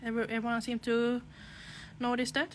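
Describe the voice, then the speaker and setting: A woman's fairly high-pitched voice with a Finland-Swedish accent. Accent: Finland-Swedish accent, noticeable in English. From Åland Islands, Finland (Swedish-speaking Finn). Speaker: nail technician. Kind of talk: live tutorial with Q&A. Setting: Instagram live stream.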